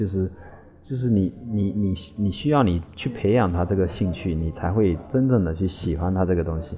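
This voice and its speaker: Background music plays throughout. The voice holds a moderate pace, with ordinary variation in pitch. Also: man. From Quanzhou, Fujian, China. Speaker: landscape designer. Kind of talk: interview. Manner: halting, repetitive.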